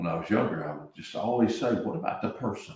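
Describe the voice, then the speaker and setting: A man with an American accent, with audible room echo. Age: 60s. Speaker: real estate business owner. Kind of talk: podcast interview.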